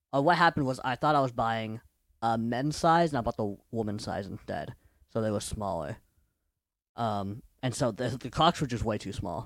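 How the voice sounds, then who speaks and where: Heard on a very clean recording with a silent background, a man uses an ordinary speaking voice at medium pitch, moderate pace and lively intonation. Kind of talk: casual chat. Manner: joking.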